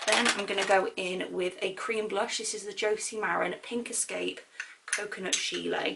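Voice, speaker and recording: Noticeable background noise sits behind a woman talking at a moderate pace. Her intonation is monotone and flat. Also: medium pitch for a woman. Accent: British. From Britain. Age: 20s. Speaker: beauty vlogger. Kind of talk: makeup tutorial talk to camera. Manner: chatty, casual.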